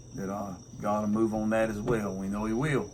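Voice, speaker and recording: Fairly quick speech from a man with a fairly low pitch and a Southern US accent, in audible room echo. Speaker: pastor and homesteader. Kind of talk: casual chat. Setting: outdoors on front porch.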